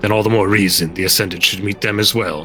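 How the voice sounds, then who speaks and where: Over clear music in the background, a man does a put-on character voice at a fairly low pitch, very fast and with monotone, flat intonation. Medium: actual play. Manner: guarded, blunt.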